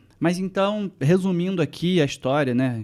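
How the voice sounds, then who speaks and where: A man speaks at a fairly slow pace with a Rio de Janeiro accent and ordinary pitch variation. The recording is very clean, with a silent background. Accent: carioca. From Brazil, Rio de Janeiro suburbs. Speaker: tech journalist. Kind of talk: casual interview chat.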